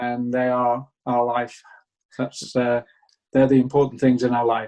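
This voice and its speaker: A man with a northern English accent, a dark, mellow tone and a fairly slow pace. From northern England, Buxton, Derbyshire. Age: 70s. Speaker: small business owner. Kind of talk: interview.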